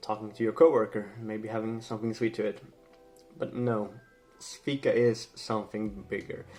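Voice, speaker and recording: With music in the background, a man with a Swedish accent speaks at medium pitch and a moderate pace, with fairly even intonation. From Sweden. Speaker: language and culture vlogger. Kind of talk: casual educational talk to camera. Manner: hesitant, many fillers.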